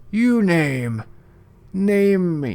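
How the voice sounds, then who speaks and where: A man does a put-on character voice pitched high. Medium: actual play. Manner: halting, broken fragments.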